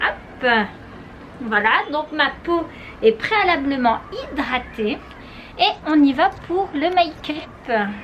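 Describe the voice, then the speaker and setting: In a high pitch with very wide swings, a woman talks very slowly, leaving long, frequent pauses. Noticeable background noise runs underneath. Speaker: beauty vlogger. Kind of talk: tutorial.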